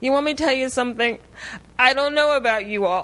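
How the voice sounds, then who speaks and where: In a raised, projected voice, a woman speaks with a high pitch, a bright, sharp tone and ordinary pitch variation. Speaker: speaker sharing testimony. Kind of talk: testimony.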